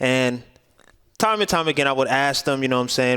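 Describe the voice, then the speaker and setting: This man speaks at a medium pitch with a New York accent. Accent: New York City English. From Brooklyn, New York. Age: 20s. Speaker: YouTuber. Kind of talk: casual vlog talk to camera. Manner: casual, with fillers and repetitions.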